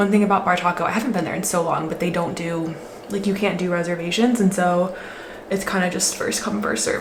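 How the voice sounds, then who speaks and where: Over noticeable background noise and audible room echo, a woman talks at a very fast pace with a medium pitch and ordinary pitch variation. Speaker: lifestyle vlogger. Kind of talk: casual vlog chat. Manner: chatty, lots of filler words.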